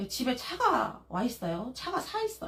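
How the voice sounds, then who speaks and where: A woman speaks in an animated tone at a moderate pace, with noticeable background noise. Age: 40s. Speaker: live-stream vlogger, mother. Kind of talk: live stream casual chat.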